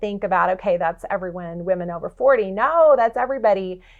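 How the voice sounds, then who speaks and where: Her tone is animated, with lively intonation. The woman speaks at medium pitch and a moderate pace. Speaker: healthcare industry researcher. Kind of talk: podcast interview.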